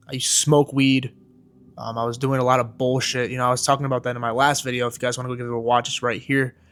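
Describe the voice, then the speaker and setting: Quiet and medium-pitched, a man talks with an American accent on a very clean recording with a silent background. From US Midwest, Michigan. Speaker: fitness coach and vlogger. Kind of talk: personal vlog monologue.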